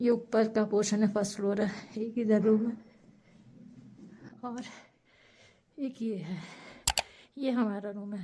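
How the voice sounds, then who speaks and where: Noticeable background noise sits behind a woman with a fairly high pitch. She speaks at a fairly slow pace in a monotone, flat intonation, with long, frequent pauses. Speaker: travel vlogger. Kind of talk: travel vlog narration.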